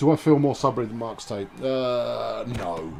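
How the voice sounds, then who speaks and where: The intonation is lively, but the pace is very slow. Noticeable background noise is present. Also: man. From England, Suffolk. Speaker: video game streamer. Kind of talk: casual live-stream chat with gameplay commentary. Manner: animated, hesitant with many fillers.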